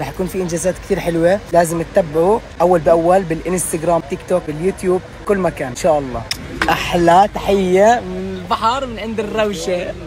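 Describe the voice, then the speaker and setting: A man with a high pitch and ordinary pitch variation talks at a fairly quick pace while noticeable background noise carries on. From Jordan. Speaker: social media vlogger. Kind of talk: casual vlog. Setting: outdoors by the sea. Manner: animated.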